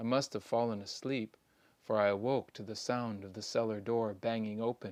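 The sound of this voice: This unforced reading voice keeps a fairly level intonation.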